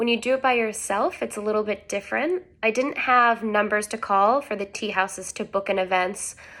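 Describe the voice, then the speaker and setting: On a very clean recording with a silent background, a woman with an American accent uses an ordinary speaking voice at a fairly high pitch, moving at a fairly quick pace with ordinary pitch variation. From United States. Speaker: travel vlogger. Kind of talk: casual tutorial. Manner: casual, filler-heavy.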